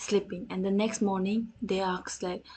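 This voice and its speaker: Here a woman talks at medium pitch and a fairly slow pace. Her intonation is monotone and flat. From North India. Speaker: vtuber streamer. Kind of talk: storytelling on a livestream. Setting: livestream. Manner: halting, many restarts.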